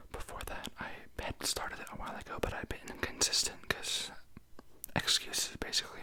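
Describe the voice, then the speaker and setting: Whispering at a moderate pace in a relaxed tone, a woman is heard over noticeable background noise. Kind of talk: ASMR whisper ramble, casual talk to camera. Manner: whispered; relaxed, rambling.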